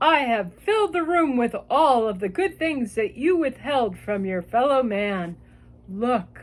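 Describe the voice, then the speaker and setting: Using a put-on character voice pitched high, a woman speaks at a fairly slow pace on a very clean recording with a silent background. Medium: read story.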